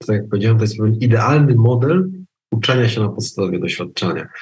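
His voice sits at a medium pitch. The man's pitch variation is ordinary. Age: 40s. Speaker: psychologist and trainer. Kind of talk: casual interview. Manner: halting.

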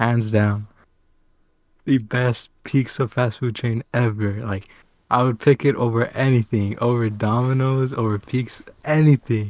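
A man with an American accent uses a normal speaking voice at a medium pitch and fairly slow pace. The intonation is fairly even, and the recording is very clean with a silent background. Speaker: podcast co-host. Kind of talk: casual chat.

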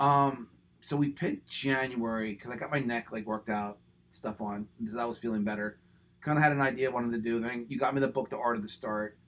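A medium-pitched man with an American accent, at a very fast pace and with fairly even intonation. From Pennsylvania, Levittown. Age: 50s. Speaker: running business owner and coach. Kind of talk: casual chat.

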